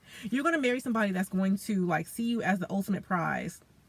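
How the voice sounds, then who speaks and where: Somewhat breathy and of medium pitch, a woman speaks at a very fast pace with ordinary pitch variation. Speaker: tarot reader. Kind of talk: tarot reading talk to camera. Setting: in a car. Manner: casual, conversational.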